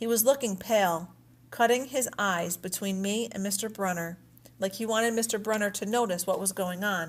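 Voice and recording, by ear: A natural voice reads the text aloud.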